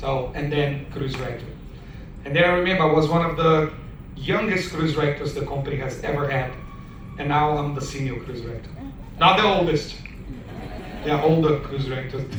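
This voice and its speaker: A man with a non-native accent, fairly high in pitch, at a fairly quick pace with long, frequent pauses and fairly even intonation, amid audible room echo and noticeable background noise. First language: not English. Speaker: cruise director. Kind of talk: audience Q and A, personal storytelling.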